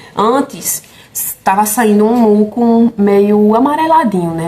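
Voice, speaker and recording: A woman speaks at a medium pitch with ordinary pitch variation. Noticeable background noise runs under her voice. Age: 20s. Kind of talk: casual talk to camera.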